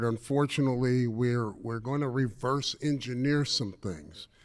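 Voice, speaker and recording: A man with an unremarkable speaking voice talks at a medium pitch and a fairly slow pace, using ordinary pitch variation. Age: 60s. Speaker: retired banker and business speaker. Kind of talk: conference talk. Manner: casual and conversational.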